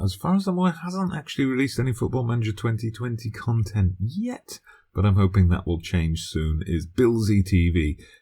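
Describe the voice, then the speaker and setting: Speaking at a fairly quick pace, a man sounds somewhat breathy on a very clean recording with a silent background. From UK. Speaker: gaming video creator. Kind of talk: channel self-introduction.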